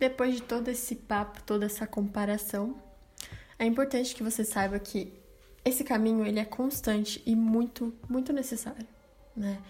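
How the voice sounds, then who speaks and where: A woman's fairly high voice stays monotone and flat at a moderate pace, broken by long, frequent pauses. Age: 20s. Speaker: podcast host. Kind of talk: solo podcast monologue. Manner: casual and chatty.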